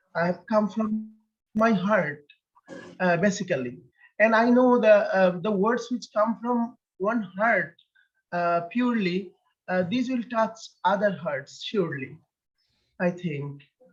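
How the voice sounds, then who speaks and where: A man with a Bengali accent speaks at a high pitch with ordinary pitch variation. His pace is fairly slow, broken by long, frequent pauses. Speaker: poet. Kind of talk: interview. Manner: halting.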